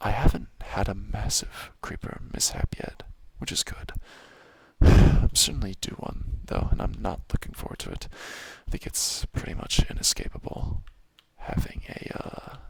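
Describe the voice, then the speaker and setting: A man whispers at a moderate pace with big swings in loudness, over noticeable background noise. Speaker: ASMR gaming creator. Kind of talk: softly spoken ASMR gameplay commentary. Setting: home apartment. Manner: soft-spoken.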